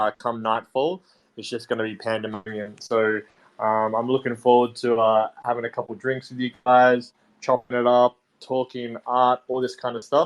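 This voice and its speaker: With an Australian accent, a man of medium pitch speaks at a moderate pace with fairly even intonation. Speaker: artist. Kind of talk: casual chat.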